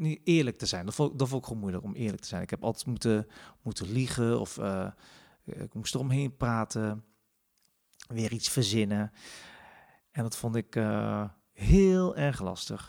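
Lively intonation from a man at a medium pitch, fairly slow, with long, frequent pauses. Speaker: podcast host. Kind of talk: casual personal monologue. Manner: hesitant, many filler sounds.

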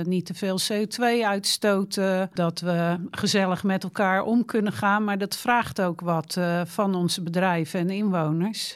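In a plain, everyday voice, a woman talks at medium pitch and a fairly slow pace, with ordinary pitch variation. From Netherlands, Rotterdam. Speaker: local politician. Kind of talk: interview.

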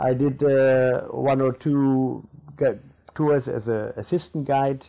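In a German accent, the voice carries a dark, mellow tone with fairly even intonation. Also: man. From Namibia. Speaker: tour guide and bookshop owner. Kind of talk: interview.

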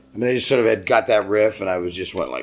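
A man's fairly low voice with ordinary pitch variation over music in the background. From US West Coast, San Diego. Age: 60s. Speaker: singer-songwriter. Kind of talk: casual interview. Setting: pub.

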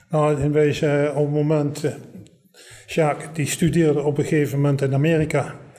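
Fairly high in pitch with a dark, mellow tone, a man speaks at a moderate pace in a flat monotone with very even loudness, and room echo is audible. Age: 70s. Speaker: war evacuee eyewitness. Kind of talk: oral history interview.

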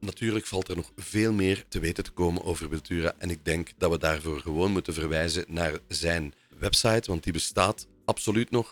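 Very deep and low in pitch, a man speaks at a moderate pace with ordinary pitch variation. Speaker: podcast host. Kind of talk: podcast episode with scripted narration and phone interview.

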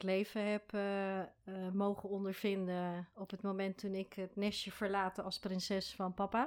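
A woman's medium-pitched voice at a fairly slow pace, in a very clean recording with a silent background. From Rotterdam, Netherlands. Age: 40s. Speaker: foundation founder and motivational speaker. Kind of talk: interview.

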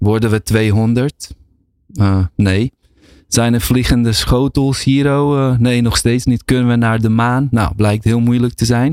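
A man speaks at a very slow pace with very even loudness in a dry, close sound with no echo. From Bosnia (former Yugoslavia). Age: 40s. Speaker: researcher and lecturer. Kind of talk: casual chat. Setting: studio.

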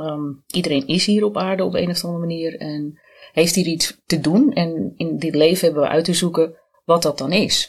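The pitch variation here is ordinary, in a normal speaking voice. The pace is moderate. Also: woman, fairly low pitch for a woman. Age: 50s. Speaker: cancer survivor, identity and branding consultant. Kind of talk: podcast interview.

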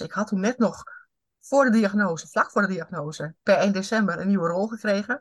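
A woman with an unremarkable speaking voice and ordinary pitch variation talks at a fairly quick pace. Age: 50s. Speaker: HR consultant and coach. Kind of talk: interview.

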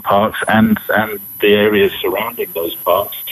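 With noticeable background noise behind it, the voice moves at a fairly slow pace. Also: man. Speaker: safari expert. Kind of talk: interview. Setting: remote call.

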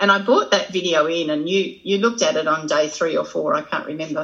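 A woman with an Australian accent, a fairly low pitch, a very fast pace, and ordinary pitch variation. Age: 60s. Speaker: social worker and trainer. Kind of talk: casual interview. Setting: video call.

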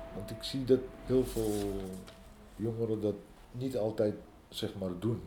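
Over music in the background, a man with a fairly low pitch speaks at a very slow pace, leaving long, frequent pauses. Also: fairly even intonation. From northern Morocco, moved to the Netherlands at 12. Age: 50s. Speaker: interviewee. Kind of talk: interview. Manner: hesitant, many fillers.

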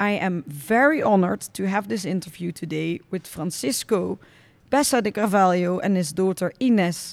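On a very clean recording with a silent background, a woman speaks in a Dutch accent at a moderate pace. Her medium-pitched voice has lively intonation. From Netherlands. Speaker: podcast host. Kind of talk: interview. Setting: on location at a stud farm.

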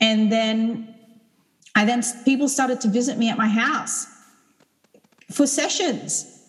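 A woman's fairly high voice at a fairly slow pace, with long, frequent pauses and audible room echo. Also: fairly even intonation. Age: 30s. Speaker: sound healer. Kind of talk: casual chat.

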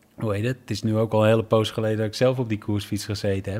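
A man talks at a fairly quick pace and medium pitch, with a dark, mellow tone. The recording is very clean, with a silent background. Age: 40s. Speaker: cycling team director, former pro cyclist. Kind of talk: interview. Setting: hotel room.

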